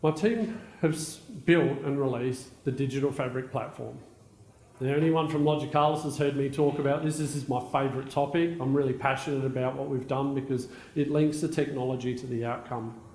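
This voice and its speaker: Somewhat breathy and fairly high in pitch, a man with an Australian accent talks at a fairly quick pace with fairly even intonation in audible room echo. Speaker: technology executive. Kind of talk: conference keynote talk.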